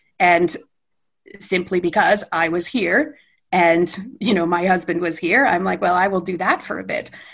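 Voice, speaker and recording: A woman speaks with a Canadian accent. Her fairly low voice keeps a moderate pace. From Western Canada. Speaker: IT director. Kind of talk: interview conversation. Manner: enthusiastic.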